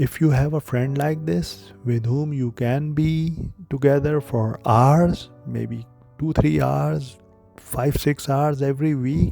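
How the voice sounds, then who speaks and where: A soft-spoken man talks very slowly in a calm tone, fairly high in pitch with ordinary pitch variation, as music plays in the background. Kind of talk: late-night reflective monologue, relaxation talk. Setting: background relaxing music. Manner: soft-spoken, calm.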